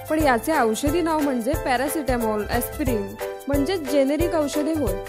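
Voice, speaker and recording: Music plays in the background. The loudness stays very even while the pitch varies in an ordinary way. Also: woman, high pitch for a woman. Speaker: voice actor. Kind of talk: commercial read, explanatory. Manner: reassuring, informative.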